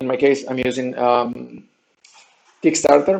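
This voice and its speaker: A man with a Spanish accent speaks at a very slow pace. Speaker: game designer and training researcher running a crowdfunding campaign. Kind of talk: video update vlog. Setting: different recording setup while relocating. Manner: halting, many fillers and restarts.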